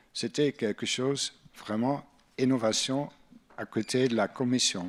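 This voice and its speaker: In a Dutch accent, a man speaks fairly slowly at a medium pitch with ordinary pitch variation, on a very clean recording with a silent background and a dry, close sound without echo. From Netherlands. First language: Dutch (speaking French). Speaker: EU Commission policy officer. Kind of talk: panel talk. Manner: halting, non-native phrasing.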